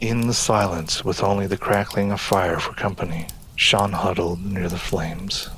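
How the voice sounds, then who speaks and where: Against noticeable background noise, a man with a very deep, low pitch talks at a moderate pace in a monotone, flat way. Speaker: voice actor. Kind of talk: audio drama narration.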